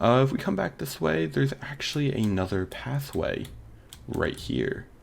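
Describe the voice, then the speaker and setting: A man speaks at a moderate pace with very wide pitch swings, and noticeable background noise can be heard. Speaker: gaming YouTuber. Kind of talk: gameplay commentary. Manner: animated.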